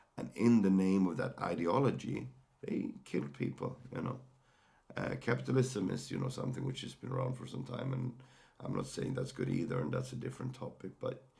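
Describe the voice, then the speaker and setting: Noticeable background noise sits behind this recording. A man with a Swedish accent speaks at a fairly quick pace. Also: medium pitch for a man, ordinary pitch variation. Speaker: mental health podcaster. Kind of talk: personal sharing monologue. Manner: halting, many fillers and repeated words.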